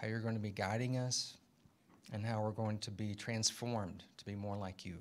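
Here a man talks at a moderate pace. His pitch varies in an ordinary way. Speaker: professor. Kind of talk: casual chat. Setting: stage with audience. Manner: animated. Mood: relaxed, lightly humorous. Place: classroom. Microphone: handheld.

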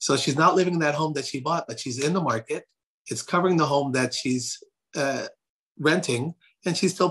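Talking at a fairly quick pace, a man uses ordinary pitch variation and a bright, sharp tone. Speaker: realtor and real estate team leader. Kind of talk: interview on a real estate talk session. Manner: animated. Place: home room. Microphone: phone near.

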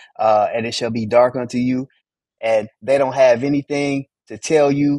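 Against a quiet background, a man with an American accent speaks in a dark, mellow tone. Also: dry sound with no echo. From US Southwest, Phoenix. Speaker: Bible study teacher. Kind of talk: Bible study teaching. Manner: animated. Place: home room. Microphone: video call.

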